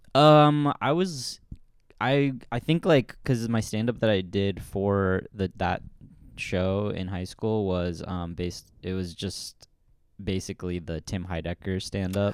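Music plays in the background as someone with a West Coast accent speaks at a fairly slow pace with lively intonation. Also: man, fairly low pitch for a man. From US Pacific Northwest, Portland. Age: 30s. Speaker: comedian. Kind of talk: casual chat.

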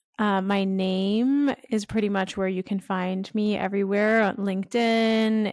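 A woman's plain, everyday voice with a Canadian accent, medium pitch and a fairly slow pace, on a very clean recording with a silent background. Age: 20s. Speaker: influencer marketing agency owner. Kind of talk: interview.

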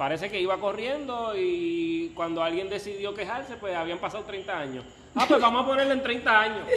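Using a raised, projected voice, a man with a high pitch speaks at a moderate pace with lively intonation and audible room echo. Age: 30s. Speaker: podcast guest. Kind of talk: casual chat.

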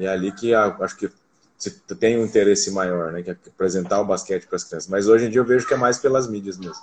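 A man talks at a fairly quick pace. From Foz do Iguaçu, Paraná, Brazil. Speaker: basketball coach. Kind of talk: casual interview.

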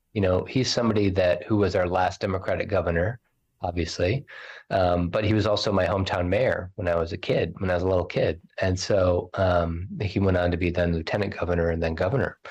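A man with a very deep, low pitch speaks with fairly even intonation and a somewhat breathy quality. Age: 40s. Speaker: state party chair. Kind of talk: interview.

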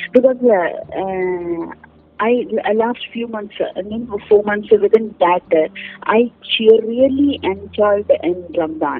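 Noticeable background noise sits behind a woman with a fairly high pitch. Her loudness swings widely. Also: ordinary pitch variation, fairly slow pace. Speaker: airline and travel trainer. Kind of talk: interview. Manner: halting, many fillers and repetitions.

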